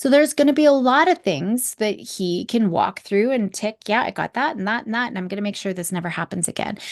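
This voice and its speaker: Over a quiet background with a dry, close sound and no echo, a woman with a fairly high voice talks in an animated tone with lively intonation at a fairly quick pace, with hardly any pauses. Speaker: psychologist and podcast host. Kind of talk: solo podcast talk. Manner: fast.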